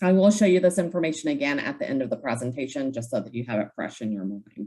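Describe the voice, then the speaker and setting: With an American accent, a woman speaks at a fairly quick pace, her dark, mellow tone carrying vocal fry and very wide pitch swings. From Kentucky, US. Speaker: software trainer. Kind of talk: online training presentation. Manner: fast.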